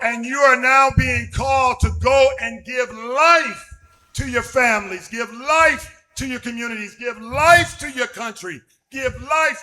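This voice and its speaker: A man's raised, projected voice at an extremely high pitch, very slow, with big swings in loudness and ordinary pitch variation. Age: 60s. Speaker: evangelist, former pro basketball player. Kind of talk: sermon. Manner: pausing for interpretation.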